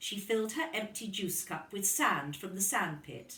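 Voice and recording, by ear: There is audible room echo around a woman's medium-pitched voice. Her tone is fairly bright and her pace fairly slow.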